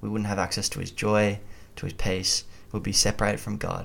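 A man with an Australian accent speaks at a fairly quick pace and a fairly low pitch. The recording is very clean, with a silent background. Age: 20s. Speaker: university student and lay preacher. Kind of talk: testimony.

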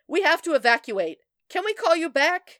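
In a put-on character voice, a woman speaks at extremely high pitch with big pitch swings and a fairly bright tone at a moderate pace, the sound dry and close with no echo on a very clean recording with a silent background.

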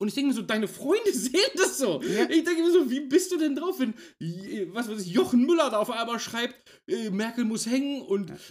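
Extremely high male voice, fairly quick pace and very wide pitch swings. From Hanover, northern Germany. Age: 30s. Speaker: podcast co-host. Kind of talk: casual chat.

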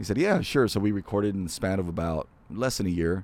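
This man has a plain, everyday voice, fairly low in pitch. He speaks at a fairly quick pace with ordinary pitch variation. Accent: American. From Imperial Valley, California (Calexico), then Central Valley. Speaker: voice-over artist. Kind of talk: casual interview. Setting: outdoors seating area of a restaurant.

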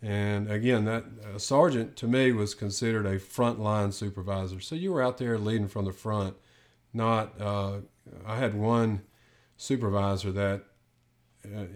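Heard in a very clean recording with a silent background, a man with an unremarkable speaking voice keeps a fairly low pitch, fairly even intonation, and a moderate pace. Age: 50s. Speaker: retired police SWAT sergeant. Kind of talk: casual chat.

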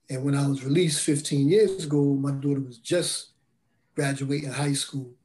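With a dark, mellow tone, a man speaks fairly high and somewhat breathy, at a moderate pace with fairly even intonation. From Brooklyn and Bridgeport, Connecticut. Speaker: formerly incarcerated mentor. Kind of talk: testimony.

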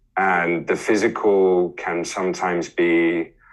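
A man speaks with music in the background. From Australia. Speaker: yoga teacher and DJ. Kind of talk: casual interview.

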